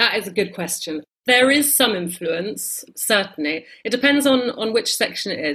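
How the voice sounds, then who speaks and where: Speaking with a southern English accent at a moderate pace, the voice has lively intonation on a very clean recording with a silent background. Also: woman. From London, England. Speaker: travel writer and editor. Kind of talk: interview. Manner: hesitant, with fillers.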